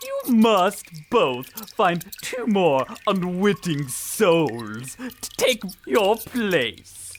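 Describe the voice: This put-on character voice moves at a very slow pace with very wide pitch swings and few pauses.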